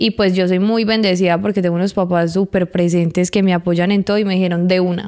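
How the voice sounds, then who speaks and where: With hardly any pauses, a woman speaks very fast at a medium pitch in a dark, mellow tone, her intonation monotone and flat and her loudness very even, over a quiet background. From Colombia, Medellín. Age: 20s. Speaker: municipal culture coordinator; interview guest. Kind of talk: casual interview. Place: studio. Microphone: handheld.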